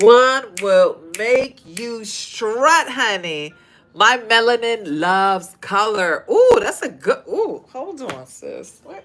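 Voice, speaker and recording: Over music in the background, a woman with a fairly high pitch talks very slowly, her intonation lively and her loudness swinging widely. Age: 50s. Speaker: fashion designer and podcast host. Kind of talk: livestream chat reading comments. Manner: animated.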